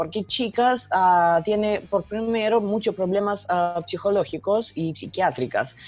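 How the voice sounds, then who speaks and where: Music plays in the background as a woman speaks at a medium pitch with ordinary pitch variation. Her pace is fairly slow, with hardly any pauses. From Russia. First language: Russian (speaking Spanish). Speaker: journalist and writer. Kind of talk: interview. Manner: halting.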